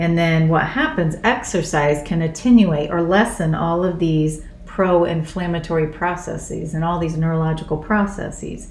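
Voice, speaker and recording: A woman speaks at a moderate pace with hardly any pauses, her pitch fairly low. Her intonation is fairly even, and audible room echo surrounds her. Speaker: doctor and wellness coach. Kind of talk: casual chat.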